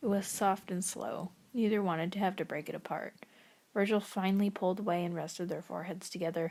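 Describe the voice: Someone simply reads a text aloud. The pitch stays fairly flat.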